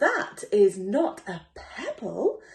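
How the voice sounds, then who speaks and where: A woman uses a put-on character voice pitched high. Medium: read story. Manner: self-assured.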